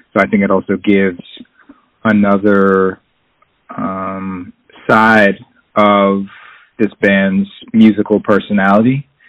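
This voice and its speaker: A man with an American accent speaks in a fairly low pitch, his intonation monotone and flat. His pace is very slow, broken by long, frequent pauses. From Boston area, Massachusetts. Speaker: jazz drummer and bandleader. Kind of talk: interview. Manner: halting, many fillers.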